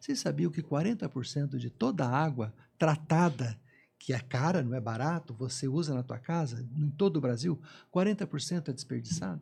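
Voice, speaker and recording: At a moderate pace, a man speaks in a fairly high voice with a dark, mellow and somewhat breathy tone. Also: lively intonation. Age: 60s. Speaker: environmental consultant, former environmental inspector. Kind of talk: panel discussion. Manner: halting, frequent repetitions.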